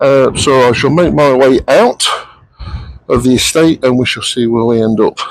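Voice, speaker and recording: Here a man has a plain, everyday voice at a medium pitch. He keeps a moderate pace, fairly even intonation and very even loudness. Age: 50s. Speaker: motorcycle vlogger. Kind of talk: riding commentary vlog. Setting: on a motorbike on the road. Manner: casual, chatty.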